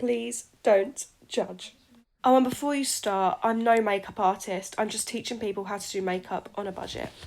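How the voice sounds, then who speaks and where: Speaking at a fairly slow pace, a woman has an English accent. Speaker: beauty vlogger. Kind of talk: casual tutorial vlog. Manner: chatty, filler-heavy.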